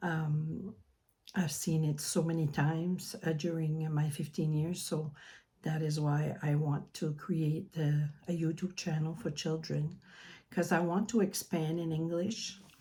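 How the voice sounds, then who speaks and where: A woman with a French accent speaks fairly slowly in a very deep, low, somewhat breathy voice of dark, mellow tone, her intonation fairly even. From New Brunswick, Canada (French-speaking). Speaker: mandala artist and children's author. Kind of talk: casual video introduction. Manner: halting, many fillers.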